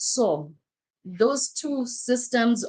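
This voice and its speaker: A woman speaks with an African accent. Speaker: life coach. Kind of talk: livestream talk. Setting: live stream. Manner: halting.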